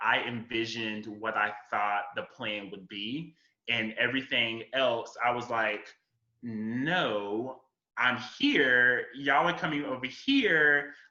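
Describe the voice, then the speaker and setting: A man speaks at a very slow pace in an American accent. His tone is bright and sharp, with ordinary pitch variation. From Florida. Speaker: writer and communication professional. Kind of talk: podcast conversation. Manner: halting, many fillers.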